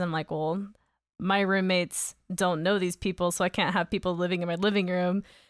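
This woman has a normal speaking voice, medium pitch and an American accent. She talks at a moderate pace with fairly even intonation in a very clean recording with a silent background. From US South, Georgia (Augusta). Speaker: podcast host. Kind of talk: casual interview.

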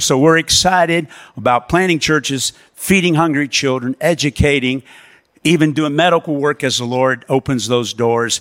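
A man with an American accent uses an unremarkable speaking voice at a fairly high pitch with ordinary variation, talking at a moderate pace in a dry, close sound with no echo on a very clean recording with a silent background. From USA. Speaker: missionary pastor. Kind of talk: sermon. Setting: church.

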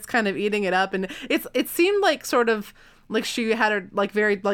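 The reading is plain and read aloud, with lively intonation.

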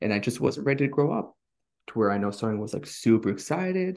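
A man talks at a fairly quick pace and a medium pitch. His voice is somewhat breathy. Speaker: podcast host. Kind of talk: casual chat.

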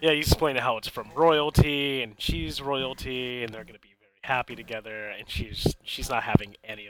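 Using a normal speaking voice, a man talks at a medium pitch and a fairly quick pace with hardly any pauses. His loudness swings a lot, while his pitch varies in an ordinary way. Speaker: podcast co-host and amateur film reviewer. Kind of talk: casual chat.

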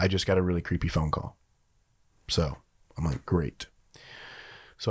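The recording is very clean and the background silent. Speech moves at a fairly quick pace. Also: man. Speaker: podcast host. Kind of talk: casual banter. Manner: loud, booming.

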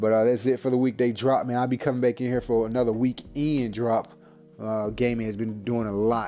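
Music plays in the background as a man speaks at a fairly quick pace. His voice is medium in pitch and monotone, with flat intonation. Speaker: gaming podcast host. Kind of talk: casual solo monologue. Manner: casual, filler-heavy.

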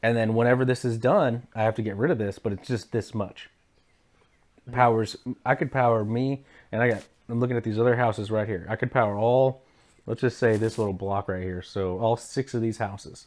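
A man talks at a fairly quick pace with a medium pitch. His intonation stays fairly even. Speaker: podcast co-host, electrical lineworker. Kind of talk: casual chat.

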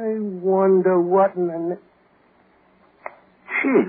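Putting on a character voice, a man speaks slowly at a high pitch with a slightly husky edge and fairly even intonation.

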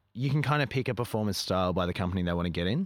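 Recorded very cleanly against a silent background, a man speaks with an Australian accent. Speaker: circus performer and troupe director. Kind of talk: casual interview chat.

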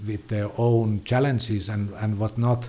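A man's fairly low, somewhat breathy voice with a dark, mellow tone, a Finnish accent and fairly even intonation. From Finland. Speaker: film producer. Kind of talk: casual interview. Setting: studio. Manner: halting, repeats words.

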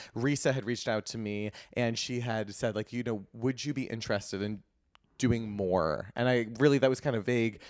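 A man's plain, everyday voice, medium in pitch, with fairly even intonation and a fairly quick pace, on a very clean recording with a silent background. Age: 30s. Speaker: eyebrow specialist and beauty entrepreneur. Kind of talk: casual chat.

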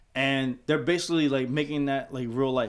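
The recording is very clean, with a silent background. A man with a normal speaking voice talks at a fairly high pitch and a moderate pace. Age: 40s. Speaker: podcast co-host, DJ. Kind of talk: casual chat.

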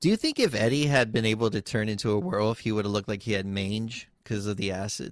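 Talking at a very fast pace, a man uses a fairly low pitch with ordinary pitch variation. The recording is very clean, with a silent background. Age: 30s. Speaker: podcaster. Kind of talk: casual chat.

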